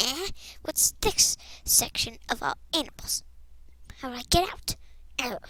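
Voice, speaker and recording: A woman does a put-on character voice at a high pitch and a moderate pace. Her loudness swings widely, with long, frequent pauses. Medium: machinima. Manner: playful, giggly.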